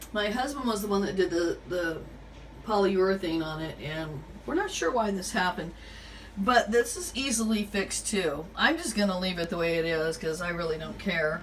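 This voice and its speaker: Her voice has a medium pitch. The woman's speech carries audible room echo. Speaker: home decorating vlogger. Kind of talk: tutorial. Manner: halting, many fillers; casual.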